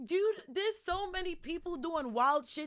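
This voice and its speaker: A woman speaks with a New York accent in an animated tone. Her intonation is lively. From New York City, Brooklyn. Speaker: podcast guest, internet talk show host. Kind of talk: casual chat.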